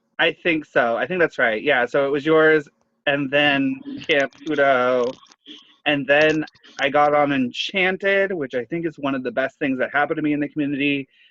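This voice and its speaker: A voice with a bright, sharp tone speaks in an American accent at a moderate pace. The sound is dry and close, with no echo. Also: man, fairly high pitch for a man. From Florida, US South. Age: 20s. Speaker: drag queen podcast co-host. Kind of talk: casual chat. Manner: loud laugh that spikes the mic.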